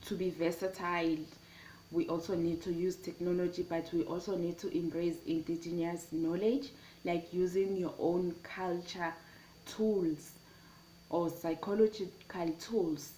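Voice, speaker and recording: A woman speaks fairly slowly in a dark, mellow tone. Her intonation stays fairly even. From South Africa, KwaZulu-Natal. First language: Zulu. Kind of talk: personal testimony and talk on education. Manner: halting, with frequent fillers and restarts.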